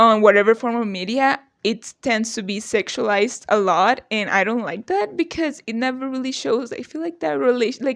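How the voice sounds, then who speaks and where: Talking at a fairly quick pace, a woman with a non-native accent uses lively intonation at a fairly high pitch. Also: quiet background. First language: not English. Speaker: youtuber. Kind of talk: casual rant to camera. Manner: animated.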